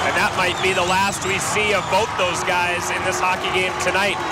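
A moderate pace in a dry sound with no echo, over loud background noise. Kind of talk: live commentary. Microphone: headset.

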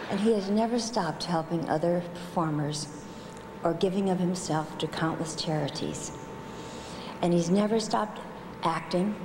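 A fairly low-pitched woman at a moderate pace, with ordinary pitch variation, very even loudness, long, frequent pauses and noticeable background noise. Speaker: presenter. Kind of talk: tribute speech. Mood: warm, playful. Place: hall. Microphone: podium.

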